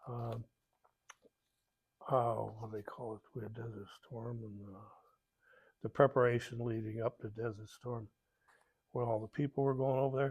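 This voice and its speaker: A man with an American accent speaks at a moderate pace and medium pitch, somewhat breathy, with monotone, flat intonation and long, frequent pauses. His loudness swings widely in a dry, close sound with no echo. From Ohio, US Midwest. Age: 70s. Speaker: war veteran. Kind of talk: oral history interview. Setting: veterans hall. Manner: halting, many fillers.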